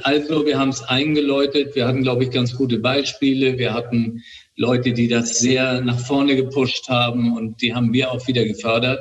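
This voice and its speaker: Here a man speaks at a moderate pace in a medium pitch, his intonation flat and monotone. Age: 60s. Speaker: hospital director and ENT doctor. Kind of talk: interview. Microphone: makeshift recording setup, slightly poor audio.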